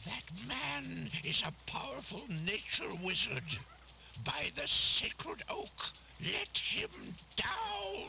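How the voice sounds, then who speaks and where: A man puts on a character voice and talks at a very slow pace, with clear background noise behind him. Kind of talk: video game voice acting. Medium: game stream. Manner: formal, solemn.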